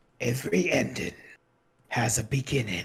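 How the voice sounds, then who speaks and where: A man speaks in a put-on character voice, raspy and mid-pitched, at a moderate pace. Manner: dramatic, theatrical.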